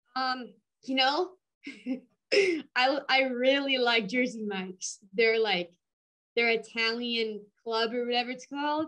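Against a quiet background, a woman with a high pitch and a bright, sharp tone speaks at a fairly slow pace, using ordinary pitch variation and long, frequent pauses. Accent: American. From Minnesota. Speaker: powerlifter; guest. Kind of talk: casual interview. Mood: cheerful, smiling. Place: home room. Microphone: video call.

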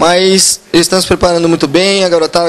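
Against light background noise, a man with a high pitch speaks in a monotone, flat way. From Brazil. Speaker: youth football coach. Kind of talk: interview. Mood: calm, confident. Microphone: handheld.

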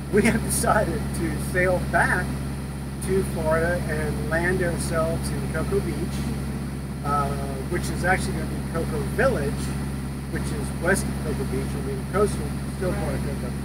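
Loud background noise sits behind a man talking at a moderate pace, broken by long, frequent pauses. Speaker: boat owner vlogger. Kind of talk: casual vlog chat. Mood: relaxed, cheerful. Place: boat. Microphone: camera far.

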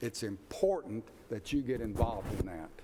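Speech comes at a moderate pace in a Tennessee accent. The recording is very clean, with a silent background. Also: man. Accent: Southern US (Tennessee). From Middle Tennessee, US South. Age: 70s. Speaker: planning commission chair. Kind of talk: public meeting remarks.

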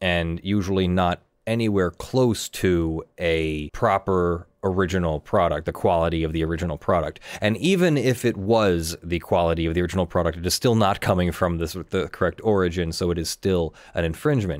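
A man's very deep, low voice with ordinary pitch variation, a fairly quick pace and a quiet background. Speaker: live stream host. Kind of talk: commentary. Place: home room. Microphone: earbuds.

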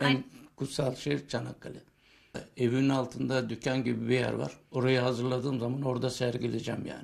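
In a quiet background, a man talks at a fairly quick pace and medium pitch. His intonation is flat and monotone, with vocal fry. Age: 70s. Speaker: war veteran and antique collector. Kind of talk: interview answer. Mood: proud, earnest. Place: home room. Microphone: handheld.

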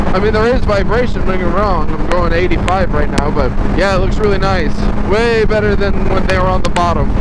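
Moderate pace, dry sound with no echo, and loud background noise. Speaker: motorcycle vlogger. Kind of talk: casual vlog chat. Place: motorbike.

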